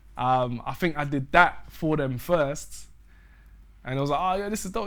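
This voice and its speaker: A man speaks with a London accent. His pitch varies in an ordinary way. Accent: London Multicultural English. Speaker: musician. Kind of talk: casual interview chat.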